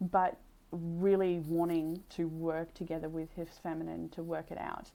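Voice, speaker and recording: Soft-spoken, a woman talks with a dark, mellow tone. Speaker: tarot reader. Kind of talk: tarot reading. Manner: halting. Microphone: new mic setup to be clearer and louder.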